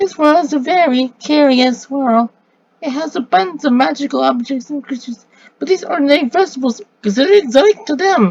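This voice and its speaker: A woman in a put-on character voice, high in pitch, at a fairly quick pace. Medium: read story.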